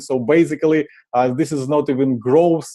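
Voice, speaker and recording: Dark and mellow in tone, this man's voice sits at a fairly high pitch. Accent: Ukrainian. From Ukraine. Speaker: marketing conference speaker. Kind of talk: conference presentation. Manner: frequent filler uh.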